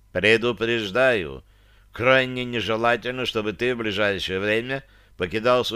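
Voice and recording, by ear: The speaker is reading aloud in a natural voice. Intonation stays fairly even throughout.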